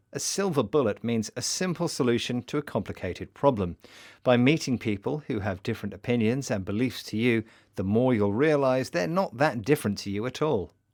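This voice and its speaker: This man has a plain, everyday voice at a medium pitch, talking at a fairly quick pace with lively intonation. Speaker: podcast presenter. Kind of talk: educational podcast presentation.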